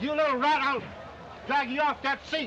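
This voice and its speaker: Putting on a growling character voice, a man talks at a moderate pace in an extremely high pitch over clear background noise. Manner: snarling, threatening.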